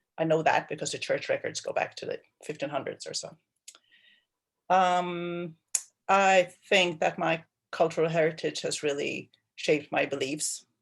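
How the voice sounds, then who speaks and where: With long, frequent pauses, a woman speaks at a moderate pace over a quiet background. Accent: Swedish. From Sweden. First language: Swedish. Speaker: water planning manager. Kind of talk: meeting self-introduction. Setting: video call.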